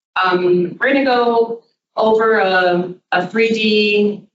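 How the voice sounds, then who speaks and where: A woman speaks with fairly even intonation. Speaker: geologist. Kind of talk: lecture.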